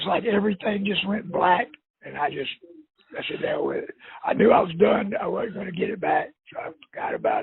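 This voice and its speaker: A man speaks with a Florida accent. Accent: Southern US (Florida). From northeast Florida (Jacksonville). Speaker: prospective customer. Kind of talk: phone conversation. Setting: phone call.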